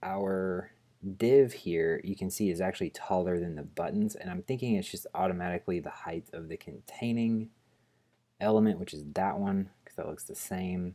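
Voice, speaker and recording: In a very clean recording with a silent background, a man mumbles at a moderate pace in a very deep, low voice with a dark, mellow tone and ordinary pitch variation. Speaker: programming tutorial host. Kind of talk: screencast coding tutorial. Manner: mumbling while thinking aloud; casual, hesitant with fillers.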